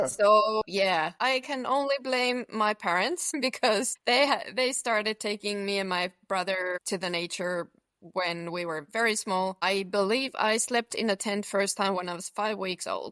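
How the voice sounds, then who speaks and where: A woman's bright, sharp voice at medium pitch, fairly slow yet with hardly any pauses, ordinary pitch variation, and a dry, close sound with no echo. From central Finland. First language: Finnish. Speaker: long-distance hiker. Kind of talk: casual interview.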